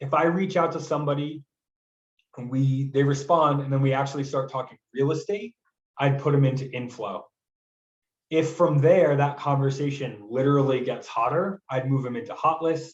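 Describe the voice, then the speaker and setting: A man with a fairly high pitch and ordinary pitch variation sounds somewhat breathy. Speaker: software trainer for real estate agents. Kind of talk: tutorial. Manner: fast; casual.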